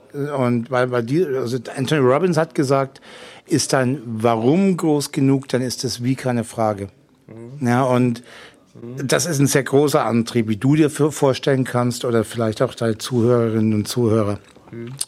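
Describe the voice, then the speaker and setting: A man talks in an ordinary speaking voice, medium in pitch, moderate in pace, with ordinary pitch variation. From Franconia, Germany. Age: 40s. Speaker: telephone sales consultant and online marketer. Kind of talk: interview. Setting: hotel during a seminar.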